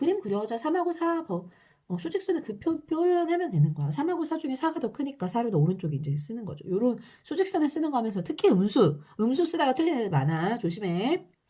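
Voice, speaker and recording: A woman with a high voice and a dark, mellow tone speaks at a very fast pace. Her pitch swings very widely. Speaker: math teacher. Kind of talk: lecture.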